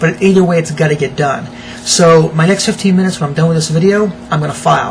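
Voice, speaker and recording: Over noticeable background noise, a man talks at a very fast pace. His pitch is fairly high and his intonation fairly even. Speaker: internet marketer giving self-help tips. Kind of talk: casual vlog monologue. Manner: hesitant fillers, repeated words.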